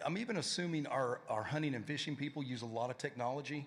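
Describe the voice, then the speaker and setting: A man's fairly high voice with a Tennessee accent, very fast pace and lively intonation. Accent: Tennessee Southern. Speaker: panel moderator. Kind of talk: panel discussion.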